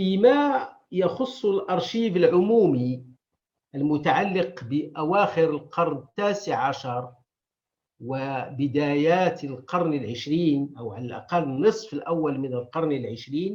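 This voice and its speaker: Here a man speaks at a fairly high pitch. His pace is very slow. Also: lively intonation. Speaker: historian and archive director. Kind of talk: conference lecture. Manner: formal.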